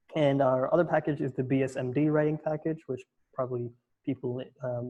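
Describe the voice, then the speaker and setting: At a fairly quick pace, a man talks with fairly even intonation in a somewhat breathy voice. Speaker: college admissions counselor. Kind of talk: webinar presentation. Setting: online webinar. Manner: fast.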